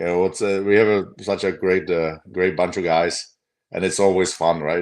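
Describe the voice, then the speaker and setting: A man with a Czech accent speaks at a moderate pace. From Czech Republic. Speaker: former pro hockey player. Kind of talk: casual chat.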